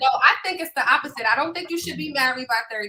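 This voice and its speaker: A woman speaks very fast in a raised, projected voice, high-pitched and with lively intonation. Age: 30s. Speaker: podcast co-host. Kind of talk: casual chat.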